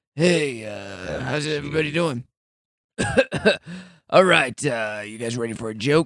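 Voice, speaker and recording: A man uses a put-on character voice that is raspy and medium-pitched. He speaks at a moderate pace with long, frequent pauses. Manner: casual, stage-style greeting.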